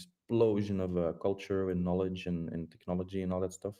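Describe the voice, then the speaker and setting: A man with a non-native accent talks at a very fast pace in a flat monotone. His very deep, low voice has a dark, mellow tone against a quiet background. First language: Dutch. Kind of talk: casual group voice chat. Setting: online voice chat. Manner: halting, many repetitions and fillers.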